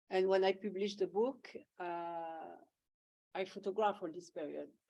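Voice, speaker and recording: A woman talks at a moderate pace with a French accent. Her fairly low voice has a dark, mellow tone. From France, Auvergne. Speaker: photographer. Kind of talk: Q&A discussion. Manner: halting.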